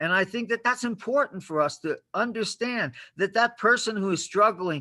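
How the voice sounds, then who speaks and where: A man speaks in a raised, projected voice. His tone is bright and sharp, at a moderate pace. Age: 70s. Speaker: homeless advocate. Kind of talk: public meeting speech.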